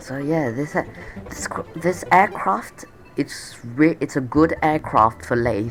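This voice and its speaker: The speech comes at a fairly slow pace against noticeable background noise. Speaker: gaming youtuber. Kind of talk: gameplay commentary. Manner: casual, halting with fillers.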